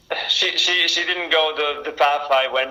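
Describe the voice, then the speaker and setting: With noticeable background noise behind him, a man talks at a moderate pace in an Italian accent. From Italy, Milan. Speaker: race car driver. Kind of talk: interview. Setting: video call.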